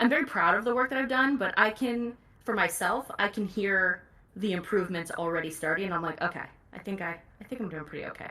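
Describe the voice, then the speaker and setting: Noticeable background noise sits behind a woman's voice at a medium pitch. She talks at a very fast pace with lively intonation. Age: 30s. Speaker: audiobook narrator. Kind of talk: casual chat. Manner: loud.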